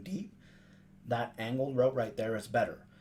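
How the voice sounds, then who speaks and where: This man speaks at a medium pitch. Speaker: video game tips youtuber. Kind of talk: gameplay tutorial. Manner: fast.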